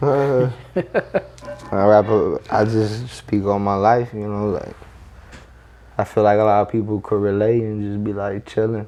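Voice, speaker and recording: Amid noticeable background noise, a man talks in a flat monotone at a fairly low pitch. Long, frequent pauses break up his speech. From grew up in a trailer park. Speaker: rapper. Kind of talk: casual interview chat.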